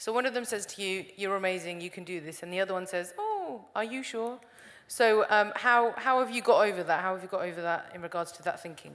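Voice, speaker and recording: Her loudness swinging widely, a woman talks at a fairly quick pace and medium pitch with ordinary pitch variation. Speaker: audience member. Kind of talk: audience question. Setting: stage with audience.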